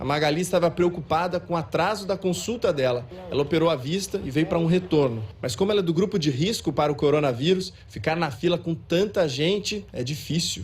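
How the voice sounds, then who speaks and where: Delivered at a fairly quick pace with hardly any pauses, the speech has lively intonation over noticeable background noise. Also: man, fairly high pitch for a man. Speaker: TV news reporter. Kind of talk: field news report. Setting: outdoors at a clinic queue.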